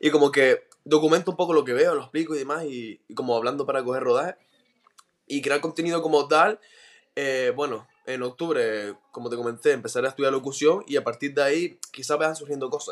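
A man with an ordinary speaking voice talks at a fairly quick pace. His pitch is fairly high, with ordinary pitch variation. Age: 20s. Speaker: podcaster. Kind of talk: interview.

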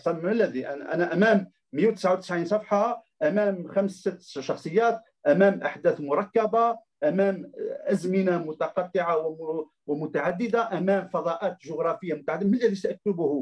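A man with a high voice speaks at a fairly slow pace, his pitch moving in an ordinary way. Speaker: literature professor and critic. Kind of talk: lecture-style talk. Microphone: microphone problem.

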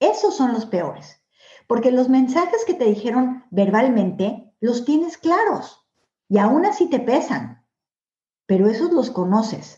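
A woman's high voice has a dark, mellow tone. Her pitch swings very widely while her loudness stays very even. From Mexico. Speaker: author. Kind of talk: interview.

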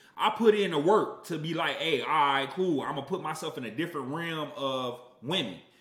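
Noticeable background noise and audible room echo surround a man with an American accent who talks at a fairly quick pace, his fairly high pitch showing ordinary variation. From US Midwest, Aurora, Illinois. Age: 30s. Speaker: podcast co-host, musician and producer. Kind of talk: casual chat.

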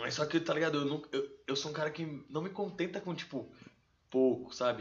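This man's voice is somewhat breathy. He goes at a very fast pace, his intonation lively. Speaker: rapper. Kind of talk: casual chat. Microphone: too far from the mic.

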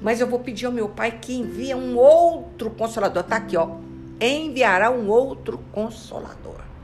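Against noticeable background noise, a woman speaks in an animated tone at a fairly slow pace. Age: 70s. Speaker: spiritist study leader. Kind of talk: religious study talk.

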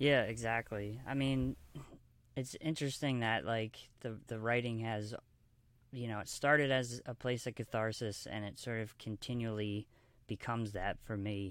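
A plain, everyday voice from a man with an American accent, at a medium pitch and moderate pace, with fairly even intonation. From US, Baltimore, Maryland. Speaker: filmmaker and author. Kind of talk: interview.

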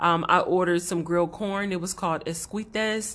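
A woman with a plain, everyday voice and an American accent talks at a moderate pace. Her pitch is fairly low and her intonation fairly even. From Los Angeles. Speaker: podcast co-host. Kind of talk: casual chat.

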